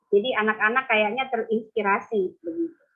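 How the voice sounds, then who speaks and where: Her pitch is fairly high, and her intonation is lively. The woman speaks at a moderate pace. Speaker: pastor. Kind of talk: sermon. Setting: video call. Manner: animated.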